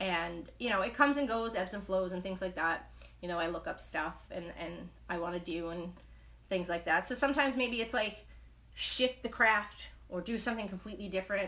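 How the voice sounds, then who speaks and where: Bright, sharp tone from a woman speaking at a fairly quick pace. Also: medium pitch for a woman, ordinary pitch variation. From New York, Brooklyn. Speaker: knitting livestreamer. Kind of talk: casual live chat. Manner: fast; animated.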